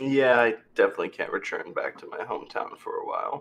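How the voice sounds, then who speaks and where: A man rattles off lines at a very fast pace in a raspy, put-on character voice pitched extremely high. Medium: actual play. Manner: earnest, solemn.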